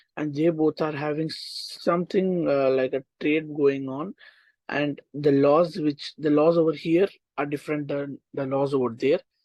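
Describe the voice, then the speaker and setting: A man speaks in an Indian accent at a fairly high pitch. His moderate pace carries a monotone, flat intonation. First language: Hindi. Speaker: online tutor. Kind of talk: casual chat; lecture. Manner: halting.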